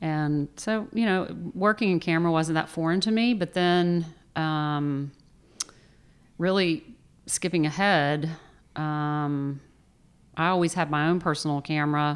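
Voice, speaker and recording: In a Southern US accent, a woman talks with a fairly low voice. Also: ordinary pitch variation. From Atlanta area, Georgia (near Tucker). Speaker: food photographer. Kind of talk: interview. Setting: her studio.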